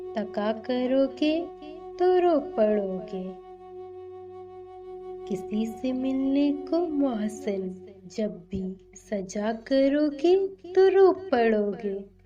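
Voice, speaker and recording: A woman's voice with very wide pitch swings over music in the background. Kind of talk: poetry reading.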